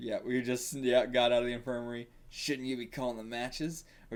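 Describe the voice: Someone reads aloud in a plain way. The intonation is fairly even.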